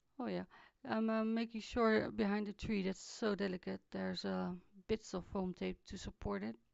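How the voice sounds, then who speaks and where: Soft-spoken, a woman talks at a moderate pace. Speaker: craft video maker. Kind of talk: tutorial voiceover. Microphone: too quiet recording.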